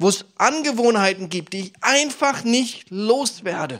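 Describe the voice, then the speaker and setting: Recorded very cleanly against a silent background, a man with a high pitch talks at a moderate pace with lively intonation. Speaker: preacher. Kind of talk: sermon. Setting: church service with congregation, New Year's Eve. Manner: earnest, persuasive preacher's delivery addressing the congregation directly; warm, encouraging, storytelling with personal anecdotes.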